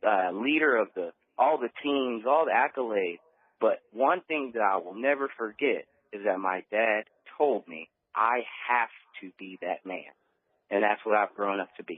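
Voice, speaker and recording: This man has an American accent and lively intonation. He speaks at a moderate pace with long, frequent pauses. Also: medium pitch for a man, big swings in loudness. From Texas, Beaumont. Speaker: network marketer. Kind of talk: radio interview.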